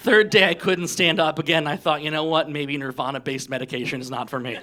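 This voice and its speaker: Talking at a very fast pace, a man with an American accent has a fairly high pitch, with noticeable background noise behind him. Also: ordinary pitch variation. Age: 40s. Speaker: stand-up comedian. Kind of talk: stand-up. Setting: stage with audience.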